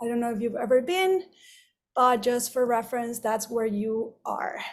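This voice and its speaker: In a Spanish accent, a woman talks in a high-pitched voice on a very clean recording with a silent background. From Mexico. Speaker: wedding photographer. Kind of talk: lecture.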